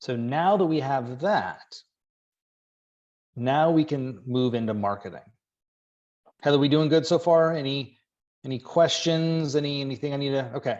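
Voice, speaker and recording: A man's fairly high voice at a moderate pace, with ordinary pitch variation and long, frequent pauses. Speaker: business coach for real estate agents. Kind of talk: webinar presentation. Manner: animated.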